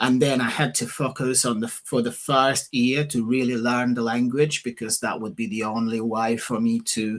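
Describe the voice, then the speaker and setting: A man with a Portuguese accent, medium pitch, ordinary pitch variation and a moderate pace. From Portugal. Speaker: property investor and author. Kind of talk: casual interview. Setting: livestream.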